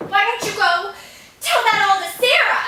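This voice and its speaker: Using a put-on character voice, a woman sounds squeaky at an extremely high pitch, with fairly even intonation, a moderate pace and a slight echo. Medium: stage play. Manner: haughty.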